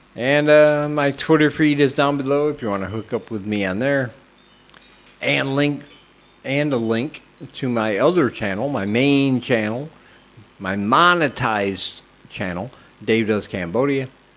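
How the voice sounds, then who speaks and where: Lively intonation with long, frequent pauses over noticeable background noise. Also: man. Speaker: comedy podcast host. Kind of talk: casual solo monologue. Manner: slurred speech.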